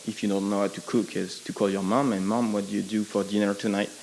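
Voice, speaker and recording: Speaking very fast, a man has a fairly low pitch and a French accent. Noticeable background noise runs behind him. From France. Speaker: audience member asking a question. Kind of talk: audience question at panel. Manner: halting, many fillers.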